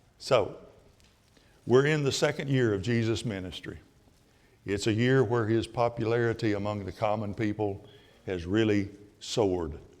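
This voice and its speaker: A man with an Alabama accent speaks at a fairly low pitch with long, frequent pauses, and audible room echo can be heard. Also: ordinary pitch variation, moderate pace. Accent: Southern US (Alabama). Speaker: Bible class teacher. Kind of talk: Bible class lecture. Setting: church classroom with audience. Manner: louder than usual.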